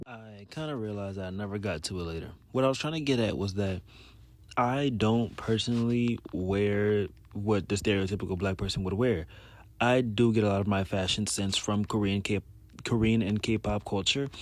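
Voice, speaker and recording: A man with an American accent speaks in a normal speaking voice at a moderate pace, fairly low-pitched, with ordinary pitch variation. The recording is very clean, with a silent background. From US South, New Orleans, Louisiana. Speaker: YouTuber. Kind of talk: voiceover commentary.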